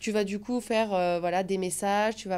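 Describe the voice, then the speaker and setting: At a fairly quick pace, a woman with a medium pitch talks in a dark, mellow tone. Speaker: travel content creator. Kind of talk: podcast interview. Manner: animated, hesitant fillers.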